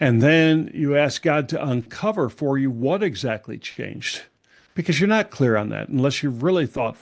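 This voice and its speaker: A plain, everyday voice with lively intonation, at a moderate pace over a quiet background. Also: man, fairly high pitch for a man. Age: 60s. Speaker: retirement coach and former pastor. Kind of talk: podcast interview.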